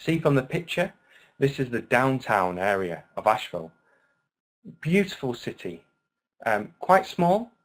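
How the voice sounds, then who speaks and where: Speaking with a British accent, a man moves at a fairly slow pace, with very wide pitch swings and long, frequent pauses. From UK. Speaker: online English teacher. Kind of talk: webinar lecture. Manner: animated.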